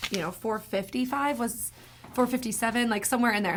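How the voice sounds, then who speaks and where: A fairly high female voice with ordinary pitch variation. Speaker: real estate agent. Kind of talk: market update vlog. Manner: fast.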